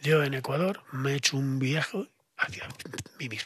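A man talks with a Spanish accent in a fairly high voice with ordinary pitch variation. The sound is dry with no echo, and the background is quiet. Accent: Spanish (Spain). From Spain. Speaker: esotericism expert; podcast guest. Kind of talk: podcast interview. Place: studio. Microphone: studio mic.

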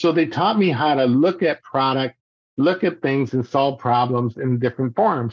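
In a dry sound with no echo and a quiet background, a man speaks at a moderate pace with ordinary pitch variation. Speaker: podcast guest. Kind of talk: interview answer. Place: home room. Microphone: video call.

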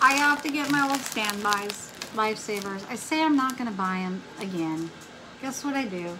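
A woman's lively intonation at a moderate pace, with noticeable background noise. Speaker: craft and haul vlogger. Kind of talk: casual chat. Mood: relaxed, chatty. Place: home room. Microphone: phone near.

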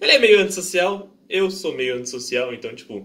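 A man talking at a fairly quick pace, with lively intonation. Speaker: anime reaction youtuber. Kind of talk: casual vlog chat. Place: home room. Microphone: headset.

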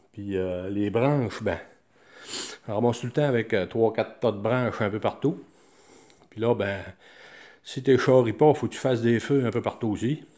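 A man with a Quebec accent, medium pitch and ordinary pitch variation, at a moderate pace against a quiet background. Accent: Québécois French. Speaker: DIY hobbyist. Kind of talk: show-and-tell tutorial. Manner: halting, many fillers. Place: workshop. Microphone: phone near.

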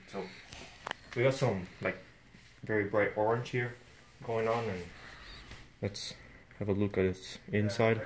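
With noticeable background noise behind him, a man speaks at a fairly slow pace with fairly even intonation and long, frequent pauses. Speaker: unboxing vlogger. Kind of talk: casual unboxing review. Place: home room. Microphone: phone near.

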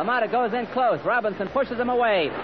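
Over crowd noise in the background, the speaker talks at a very fast pace in an energetic tone with ordinary pitch variation. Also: man. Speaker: radio boxing commentator. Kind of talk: live radio sports commentary, blow-by-blow. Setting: vintage 1945 radio broadcast. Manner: fast, energetic.

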